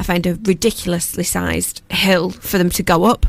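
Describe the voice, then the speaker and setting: With a Lancashire accent, a woman talks at a medium pitch in a monotone, flat intonation. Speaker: community radio presenter and charity founder. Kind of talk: casual chat. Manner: loud.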